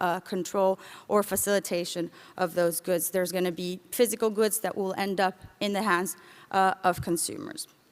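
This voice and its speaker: Her intonation stays fairly level throughout. The woman's voice sits at a medium pitch. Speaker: international organization official. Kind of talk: conference presentation. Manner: fast.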